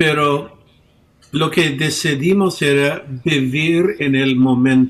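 With an English accent, a man speaks at a very slow pace in a fairly high voice, with ordinary pitch variation and long, frequent pauses. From United States. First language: English (speaking Spanish). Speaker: pastor. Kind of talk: interview. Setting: video call.

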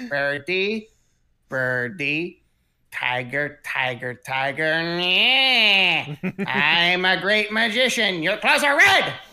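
A put-on character voice at a middle pitch moves at a very slow pace. Long pauses come often.

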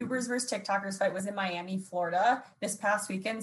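A woman's medium-pitched voice races along at a very fast pace. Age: 20s. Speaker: social media commentator. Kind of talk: casual chat. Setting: video call.

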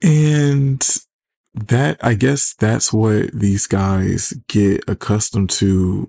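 Speaking very slowly with an American accent, the voice shows ordinary pitch variation. Loudness stays very even, and the sound is dry and close with no echo. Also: man, fairly low pitch for a man. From Detroit, US Midwest. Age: 30s. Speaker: podcast host. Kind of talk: casual solo podcast monologue. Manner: sarcastic, casual, chatty.

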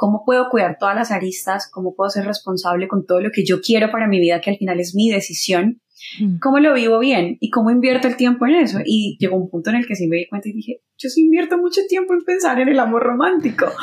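Very fast and somewhat breathy, a woman speaks at a fairly high pitch with very wide pitch swings. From Colombia, Bucaramanga. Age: 30s. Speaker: singer-songwriter and radio announcer. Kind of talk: casual interview chat.

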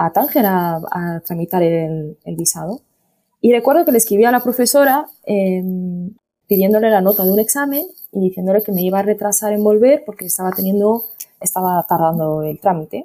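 A woman's dark, mellow tone comes with lively intonation. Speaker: podcast guest. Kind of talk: casual chat. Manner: halting.

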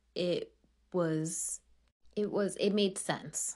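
A woman speaks in an ordinary speaking voice. The background is quiet. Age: 30s. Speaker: podcast host. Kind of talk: casual chat.

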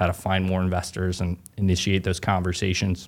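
This man talks at a fairly quick pace in a very deep, low voice. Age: 30s. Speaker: real estate agent and investor. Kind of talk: casual interview chat.

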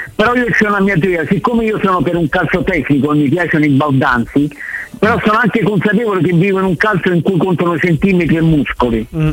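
A very fast, animated man with a high voice, lively intonation and very even loudness over noticeable background noise. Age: 60s. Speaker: caller. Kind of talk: casual chat. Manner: excitable.

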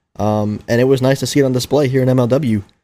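A man speaks at a very fast pace with an American accent. His voice has a dark, mellow tone. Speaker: podcast host. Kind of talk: casual chat. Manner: animated.

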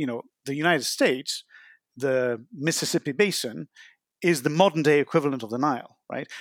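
A man talks fairly quickly at a fairly high pitch, with big swings in loudness. The sound is dry and close with no echo, on a very clean recording with a silent background. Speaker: author and water scholar. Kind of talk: interview answers, explanatory.

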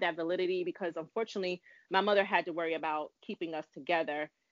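In an American accent, a woman talks at a moderate pace with ordinary pitch variation and an unremarkable speaking voice. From Brooklyn, New York. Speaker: nurse midwife. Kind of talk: interview, personal life story.

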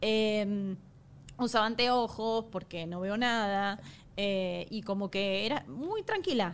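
A woman with an Argentine accent at a very slow pace, medium pitch and ordinary pitch variation, in a very clean recording with a silent background. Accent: Argentine Spanish (Rioplatense, voseo). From Argentina. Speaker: makeup artist. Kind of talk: casual chat.

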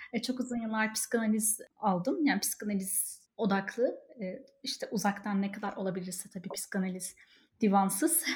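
This woman's voice is fairly high and somewhat breathy. She keeps a moderate pace with ordinary pitch variation. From Turkey (Ankara, İzmir). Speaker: online community founder. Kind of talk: casual chat.

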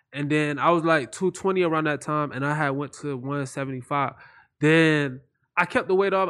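The man speaks at a fairly quick pace in a fairly high pitch. The background is quiet. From Florida. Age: 20s. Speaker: internet comedian. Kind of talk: casual chat. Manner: animated.

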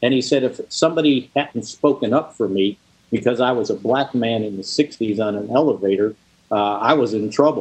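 A man with an American accent has an ordinary speaking voice at a medium pitch. He talks at a moderate pace with ordinary pitch variation. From Chicago suburbs. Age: 60s. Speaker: sports journalist and podcast host. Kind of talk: casual interview.

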